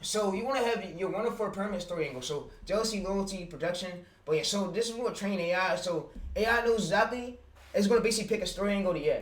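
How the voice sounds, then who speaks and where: A high-pitched man with an American accent speaks at a very fast pace with ordinary pitch variation. Audible room echo and noticeable background noise fill the recording. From Pittsburgh, US. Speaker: YouTube automation streamer. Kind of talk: livestream tutorial. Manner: halting, many fillers.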